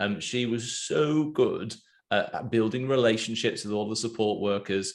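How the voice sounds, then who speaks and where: A moderate pace and fairly even intonation with an English accent, over a quiet background. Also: man, medium pitch for a man. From England. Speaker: podcast host. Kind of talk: casual interview.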